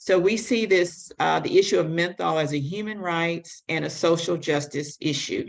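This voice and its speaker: A woman with an American accent speaks at a moderate pace in an ordinary speaking voice, with ordinary pitch variation and hardly any pauses. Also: fairly low pitch for a woman. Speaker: public health advocate. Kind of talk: conference presentation.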